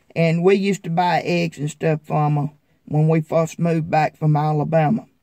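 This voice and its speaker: A man with a Southern US accent speaks at a fairly high pitch in a dark, mellow tone with fairly even intonation. The sound is dry and close, with no echo. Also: moderate pace. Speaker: farmer vlogger. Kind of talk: casual vlog talk.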